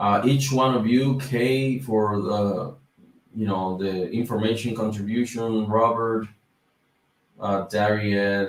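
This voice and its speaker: A man talks very slowly in a Dominican accent, his fairly low voice keeping a fairly even intonation. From Dominican Republic. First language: Spanish. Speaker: YouTuber on business credit. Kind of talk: livestream chat. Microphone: mic problems.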